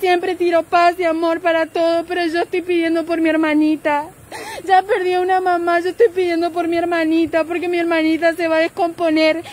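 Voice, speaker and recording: A woman's extremely high voice, monotone and flat, at a fairly quick pace with a dry sound and no echo. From Formosa, Argentina. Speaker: grieving relative making a public appeal. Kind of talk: live-stream appeal. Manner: urgent, pleading. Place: street. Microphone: phone near.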